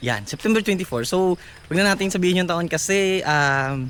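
A high-pitched man with lively intonation. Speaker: vlogger and street vendor. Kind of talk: casual vlog talk to camera. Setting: outdoors, walking in the neighborhood. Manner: hesitant, many fillers.

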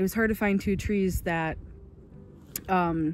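Music plays behind a woman with a fairly low pitch and fairly even intonation. She speaks at a fairly slow pace, and the sound is dry with no echo. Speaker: full-time traveller vlogger. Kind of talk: casual vlog chat. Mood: relaxed and content. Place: open country. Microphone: phone near.

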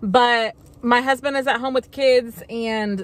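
A woman speaks at a high pitch, and the sound is dry with no echo. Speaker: haul vlogger. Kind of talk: casual vlog chat. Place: car.

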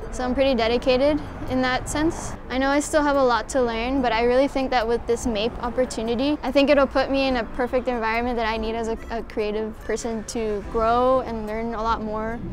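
Over noticeable background noise, a high-pitched woman talks at a fairly quick pace with hardly any pauses and a monotone, flat intonation. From Mexico, raised in Houston, Texas; Mexico. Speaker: art student. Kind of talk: application video monologue. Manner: casual, with filler words. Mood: calm, earnest. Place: cafe. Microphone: lapel.

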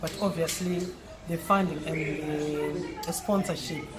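At a very slow pace, a woman with a fairly low pitch speaks in a monotone, flat intonation over noticeable background noise. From Zimbabwe. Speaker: former netball player. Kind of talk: interview. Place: cafe.

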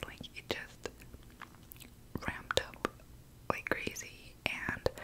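A woman is whispering at a very slow pace. Her speech has long, frequent pauses. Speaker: ASMR creator. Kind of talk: ASMR eating ramble. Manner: whispered; casual, rambling. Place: home room. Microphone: studio mic.

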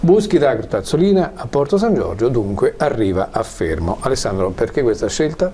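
This man has a fairly high pitch and very wide pitch swings, speaking at a moderate pace with hardly any pauses. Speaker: TV interviewer. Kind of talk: TV interview. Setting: studio. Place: studio. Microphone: lapel.

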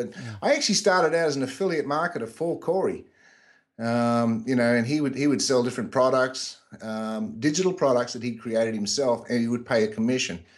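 Lively intonation marks this man's speech. He moves at a fairly quick pace. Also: medium pitch for a man. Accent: Australian. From Australia. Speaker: internet marketer. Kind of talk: interview.

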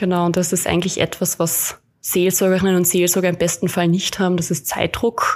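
A woman talks at a fairly quick pace in a fairly low voice, her intonation monotone and flat, with a slight Carinthian accent. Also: very even loudness. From Austria, Carinthia. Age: 20s. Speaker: hospital chaplain. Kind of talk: podcast interview.

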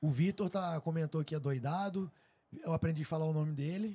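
Here a man speaks with a dark, mellow tone at a fairly high pitch, with ordinary pitch variation and a moderate pace. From Brazil. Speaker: podcast host. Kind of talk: casual chat. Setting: live stream studio. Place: studio. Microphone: studio mic.

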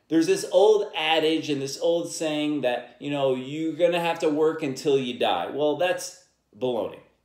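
Audible room echo surrounds a man against a quiet background. He keeps a moderate pace with fairly even intonation. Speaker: podcast host. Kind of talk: podcast monologue on personal finance. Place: home room.

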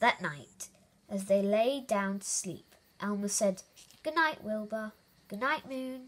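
The pitch shifts in an ordinary way in what is a natural reading voice.

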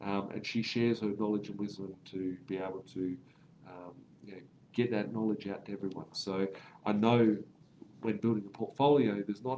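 A man with an Australian accent speaks in a fairly low, dark and mellow voice, leaving long, frequent pauses over light background noise. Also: fairly even intonation, moderate pace. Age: 30s. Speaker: property investment educator. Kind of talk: live stream Q&A. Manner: casual, filler-heavy.

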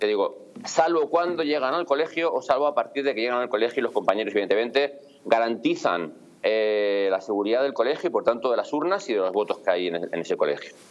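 Lively intonation marks a man speaking at a very fast pace. His pitch is fairly high. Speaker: police officer. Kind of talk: interview. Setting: video call.

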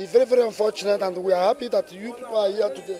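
Speaking very fast with a Nigerian accent, a man has a high pitch with ordinary variation. The sound is dry with no echo, though noticeable background noise is present. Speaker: transporter. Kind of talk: street interview. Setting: outdoors. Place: street. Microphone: handheld.

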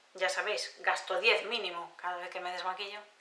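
The pace is fairly quick. There is audible echo from the room. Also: woman. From Spain. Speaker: beauty youtuber; beauty vlogger. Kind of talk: casual haul video monologue. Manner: hesitant with frequent fillers. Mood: enthusiastic, warm. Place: home room.

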